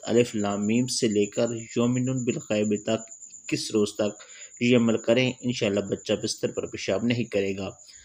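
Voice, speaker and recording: Using an unremarkable speaking voice, a man talks at medium pitch with fairly even intonation. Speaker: voice actor. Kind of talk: religious remedy narration.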